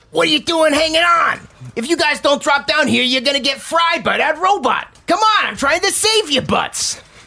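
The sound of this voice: A squeaky, high-pitched, put-on character voice speaks at a moderate pace.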